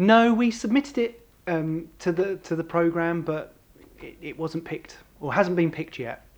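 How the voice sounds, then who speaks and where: A man speaks at a moderate pace with a high pitch, lively intonation and big swings in loudness. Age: 30s. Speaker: singer-songwriter. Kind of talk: interview. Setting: kitchen session. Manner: halting.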